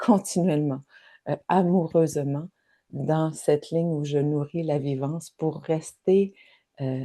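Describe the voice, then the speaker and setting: Very slow and broken by long, frequent pauses, a woman's very deep, low voice carries a dark, mellow tone, fairly even intonation and a Quebec accent. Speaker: spiritual wellness guide. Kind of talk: guided reflection livestream. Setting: live online session. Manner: halting, repeats words.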